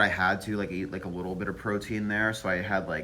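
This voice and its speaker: With audible room echo around him, a man speaks at a fairly low pitch. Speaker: vlogger. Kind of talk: casual vlog monologue. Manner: halting, many fillers; slow, delayed.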